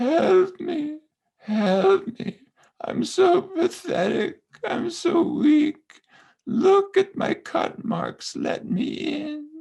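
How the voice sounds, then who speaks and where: In a whiny put-on character voice, a man speaks very slowly at an extremely high pitch. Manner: whiny, pitiful, mocking.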